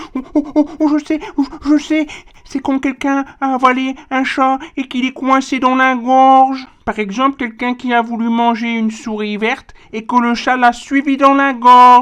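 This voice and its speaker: A cartoonish character voice sounds female and high-pitched. It moves at a moderate pace. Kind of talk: children's educational puppet show. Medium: puppet.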